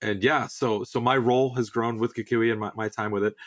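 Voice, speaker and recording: The speaker uses a normal speaking voice with an American accent at a fairly quick pace. The recording is very clean, with a silent background. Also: man. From Southern California. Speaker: auto repair business trainer. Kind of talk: podcast interview.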